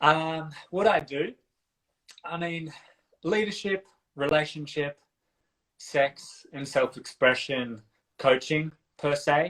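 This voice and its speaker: Speaking very slowly with an Australian accent, a man with a fairly high pitch and ordinary pitch variation leaves long, frequent pauses. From country Australia (south coast NSW). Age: 30s. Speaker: dance and relationship coach. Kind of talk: casual interview chat.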